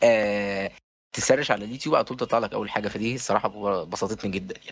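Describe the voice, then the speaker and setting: The delivery is fairly quick with fairly even intonation but big swings in loudness. It is a very clean recording with a silent background. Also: man, fairly low pitch for a man. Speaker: podcast host. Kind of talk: casual chat. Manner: halting.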